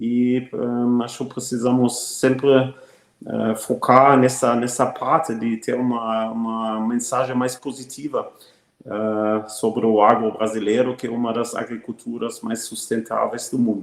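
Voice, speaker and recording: Speaking in a German accent, a man at medium pitch goes at a fairly slow pace with monotone, flat intonation and hardly any pauses. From Germany. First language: German (speaking Portuguese). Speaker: agribusiness executive. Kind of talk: interview. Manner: frequent hesitations.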